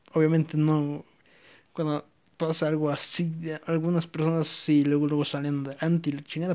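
A man's fairly high voice with a dark, mellow tone, fairly even intonation and a Mexican accent. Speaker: podcaster. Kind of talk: casual monologue. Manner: rambling, halting.

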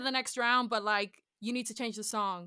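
A woman speaks with a Teesside accent at a moderate pace. Her tone is bright and sharp. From northern England, Middlesbrough. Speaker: musical theatre performer. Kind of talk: interview. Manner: animated, laughing often.

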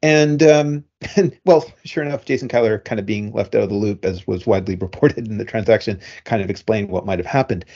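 Lively intonation runs through very fast speech. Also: man, fairly low pitch for a man. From Canada. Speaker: podcast co-host, media analyst. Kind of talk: casual chat.

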